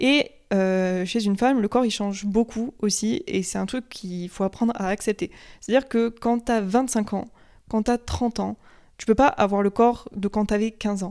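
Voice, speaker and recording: A dark, mellow tone comes through a very clean recording with a silent background, at a moderate pace with ordinary pitch variation. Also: woman, fairly high pitch for a woman. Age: 20s. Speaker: podcast host. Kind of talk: casual monologue. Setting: at home on sofa, filmed. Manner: hesitant, many filler sounds.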